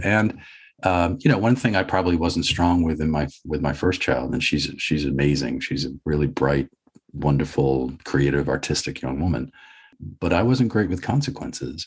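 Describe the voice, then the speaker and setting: A man's very deep, low voice with vocal fry and very wide pitch swings, in an American accent at a moderate pace. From Boston, USA. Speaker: podcast guest. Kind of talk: interview answer. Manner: reflective, conversational.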